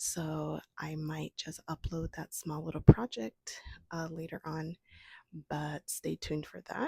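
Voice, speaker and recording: This voice has a dark, mellow tone with vocal fry, fairly even intonation and a fairly slow pace, captured with a dry, close sound and no echo. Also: woman, very deep, low pitch for a woman. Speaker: homesteading vlogger. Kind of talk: casual vlog talk.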